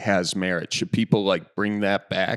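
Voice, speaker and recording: A man speaks at a fairly low pitch with a Wisconsin accent. The recording is very clean and dry, close with no echo, and the background is silent. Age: 30s. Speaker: podcast host. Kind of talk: casual interview chat.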